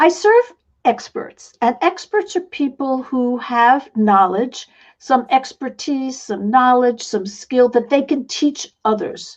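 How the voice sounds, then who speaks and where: A woman with a high voice and an American accent, very slow speech with lively intonation, and a quiet background. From New York City. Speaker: online business coach and author. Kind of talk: interview.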